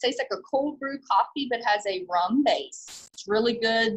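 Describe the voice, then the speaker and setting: In a quiet background, a woman speaks at a moderate pace. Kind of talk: product walkthrough. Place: shop. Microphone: phone near.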